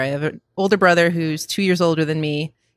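This woman has a fairly low pitch and a Buffalo accent. She talks at a fairly quick pace with ordinary pitch variation. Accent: Western New York (Buffalo). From Western New York, Buffalo area (Cheektowaga). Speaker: sports TV producer. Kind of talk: casual interview chat. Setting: coffee shop.

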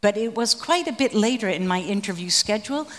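Her pitch is medium with ordinary variation as the woman speaks at a moderate pace in an unremarkable speaking voice. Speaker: researcher of former East German activists. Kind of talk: panel discussion.

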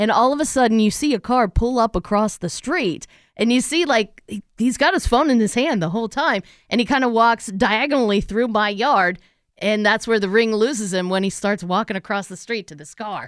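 A woman talks at a fairly quick pace in an ordinary speaking voice, pitched fairly high with lively intonation and big swings in loudness. The recording is very clean, with a silent background. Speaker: radio co-host. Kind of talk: casual morning-show banter.

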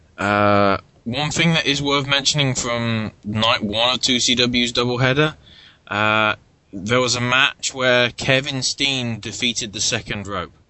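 A man talks at a medium pitch in a plain, everyday voice. His pace is fairly slow and his intonation fairly even. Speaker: wrestling podcast host. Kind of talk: casual chat.

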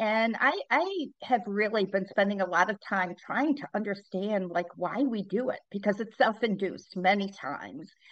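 This woman has a normal speaking voice at a medium pitch with ordinary pitch variation. She leaves hardly any pauses. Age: 60s. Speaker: leadership speaker and author. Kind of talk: interview conversation.

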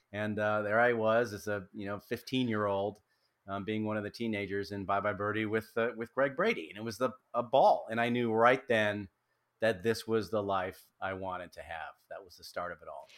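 Heard on a very clean recording with a silent background, an ordinary speaking voice with an American accent moves at a moderate pace, its intonation fairly even but its loudness swinging widely. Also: man, fairly low pitch for a man. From US Midwest, Racine, Wisconsin. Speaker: actor. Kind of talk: casual chat.

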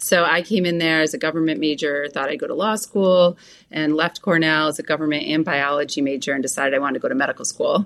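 This woman speaks very fast with an American accent. Her pitch is very deep and low, with ordinary variation. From western New York, US. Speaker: sports medicine doctor. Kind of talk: casual interview.

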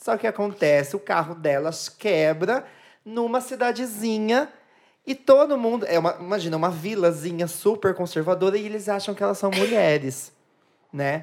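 Using a normal speaking voice, a woman of medium pitch talks at a moderate pace with lively intonation. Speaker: drag queen. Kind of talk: casual chat.

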